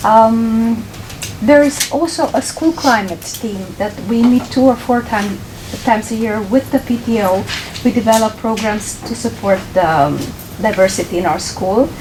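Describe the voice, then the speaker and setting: A woman speaks with a Romanian accent at a moderate pace. Her pitch is fairly high with ordinary variation, and there is noticeable background noise. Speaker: ESL teacher. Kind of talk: presentation. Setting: board meeting.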